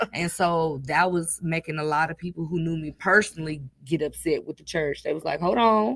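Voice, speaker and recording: A woman's fairly low voice with ordinary pitch variation, a fairly quick pace and hardly any pauses. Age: student, about to graduate. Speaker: pastor and nonprofit founder. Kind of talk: interview. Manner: animated, voice rises when passionate.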